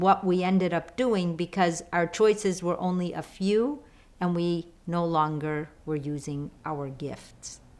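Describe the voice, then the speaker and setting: A woman speaks with a Chicago accent. Her pace is fairly slow. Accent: Chicago American English. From Chicago, US. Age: 50s. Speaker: lifestyle coach. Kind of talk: online course talk.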